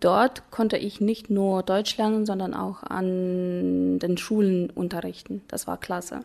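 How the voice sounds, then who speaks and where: A woman's dark, mellow tone, at a very slow pace with monotone, flat intonation and hardly any pauses. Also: medium pitch for a woman. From Kazakhstan, Ust-Kamenogorsk. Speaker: German teacher. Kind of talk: interview.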